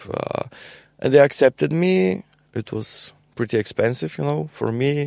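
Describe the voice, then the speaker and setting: A man with a Bulgarian accent speaks with very wide pitch swings. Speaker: musician and university teacher. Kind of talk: casual interview. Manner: halting, many repetitions.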